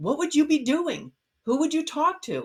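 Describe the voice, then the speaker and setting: An animated tone at a moderate pace. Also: woman. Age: 60s. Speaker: neonatal nurse turned life coach. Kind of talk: motivational talk in a live interview.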